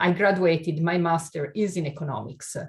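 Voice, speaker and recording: Over a quiet background, a woman with an Italian accent speaks somewhat breathily at a fairly low pitch and a moderate pace. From Italy. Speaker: keynote speaker on inclusion and diversity. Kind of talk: webinar keynote talk.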